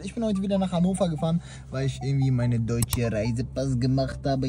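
Faint music plays in the background as a man talks very fast, his voice dry with no echo. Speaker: prank vlogger. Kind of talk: casual vlog chat.

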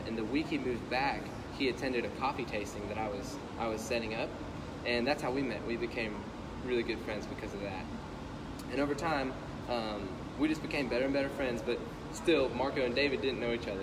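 A man talks at a fairly quick pace. Noticeable background noise runs behind him. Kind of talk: interview answer. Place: cafe. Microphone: phone near.

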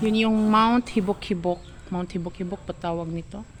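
A woman with a Cebuano accent and fairly even intonation. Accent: Cebuano-accented Tagalog. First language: Cebuano (speaking Tagalog). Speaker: vlogger. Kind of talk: casual vlog. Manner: halting.

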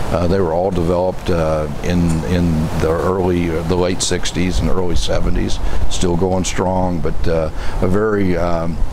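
Against noticeable background noise, a man with a very deep, low pitch speaks fairly slowly in a flat monotone, the sound dry with no echo. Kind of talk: interview answer. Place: open country.

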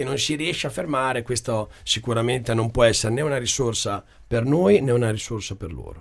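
A man is speaking. The background is quiet. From Italy, Rimini (Emilia-Romagna); Emilia-Romagna, Italy. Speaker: political candidate, small hotel owner; candidate. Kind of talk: radio/TV interview. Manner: hesitant, many fillers. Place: studio. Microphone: studio mic.

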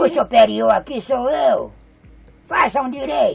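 Faint music plays in the background as a man uses a put-on character voice at a fairly slow pace. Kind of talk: comic overacting. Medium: fan dub. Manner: shouting, bossy, impatient.

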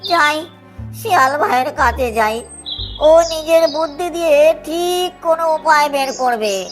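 A female-sounding cartoonish character voice, high-pitched, speaking at a fairly slow pace over clear background music.

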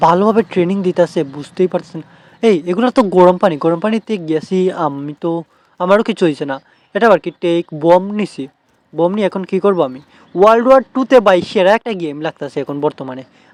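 An animated man with a high pitch and ordinary pitch variation comes through dry and close with no echo. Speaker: gaming YouTuber. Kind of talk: gameplay commentary. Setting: shop in a market.

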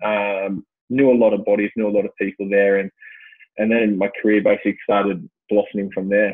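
A man's fairly low, monotone, flat voice at a fairly quick pace, dry with no echo, against a quiet background. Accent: Australian. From Australia, Western Sydney (Blacktown); New South Wales, Australia. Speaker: former Olympic swimmer and swim coach; swim coach. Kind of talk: casual chat. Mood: relaxed, reflective. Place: office. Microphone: earbuds.

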